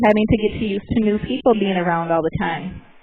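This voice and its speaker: Music plays in the background as a woman speaks at a fairly quick pace. Her pitch is fairly high, with ordinary variation. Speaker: bear center guide. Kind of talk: live presentation to visitors.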